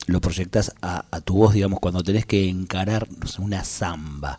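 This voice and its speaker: Over music in the background, a man speaks with a very deep, low pitch, fairly even intonation and a fairly slow pace. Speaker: radio host. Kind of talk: radio interview. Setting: radio studio.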